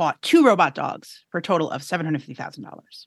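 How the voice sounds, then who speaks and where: This is a woman with a fairly low voice. She has an American accent. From New York City. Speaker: podcast co-host, reporter. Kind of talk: casual chat. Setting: studio.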